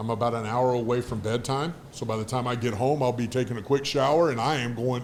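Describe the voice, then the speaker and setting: In a plain, everyday voice, a man talks at a medium pitch and a fairly quick pace, with fairly even intonation and hardly any pauses. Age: 60s. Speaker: former pro football player, business executive. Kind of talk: casual interview chat.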